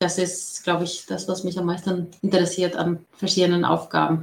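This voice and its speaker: With vocal fry, a woman talks at a moderate pace. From outside Germany. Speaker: data professional. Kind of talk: interview.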